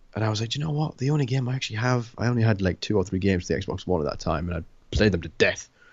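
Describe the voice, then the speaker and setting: A man talks at a very fast pace with hardly any pauses, his fairly low voice somewhat breathy. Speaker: gaming podcast co-host. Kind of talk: casual chat. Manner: hesitant, many fillers.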